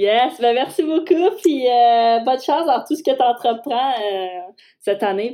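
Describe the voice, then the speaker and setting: A woman's fairly high voice with a dark, mellow tone and lively intonation at a moderate pace. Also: quiet background. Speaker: university hockey player. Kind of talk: interview.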